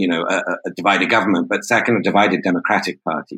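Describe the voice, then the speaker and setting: In a British accent, a man speaks with a bright, sharp tone at a medium pitch. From Britain. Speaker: journalist. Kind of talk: interview discussion.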